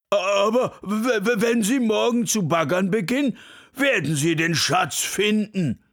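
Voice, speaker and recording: Talking at a fairly slow pace, a man with a high pitch uses lively intonation. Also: very even loudness. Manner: stammering.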